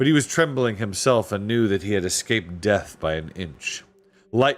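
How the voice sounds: Natural-sounding reading voice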